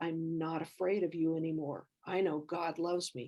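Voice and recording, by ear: Putting on a gravelly character voice, a woman speaks at a fairly low pitch and moderate pace with monotone, flat intonation.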